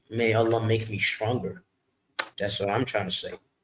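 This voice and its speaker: The man's voice sits at medium pitch and sounds somewhat breathy. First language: not English. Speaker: music artist. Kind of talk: interview. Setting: live stream. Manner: halting.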